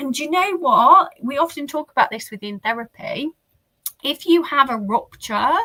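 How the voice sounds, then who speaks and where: A woman speaks in a raised, projected voice with a high pitch and a bright, sharp tone. Her loudness swings widely at a moderate pace, and the sound is dry and close with no echo. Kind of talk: interview conversation. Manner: animated.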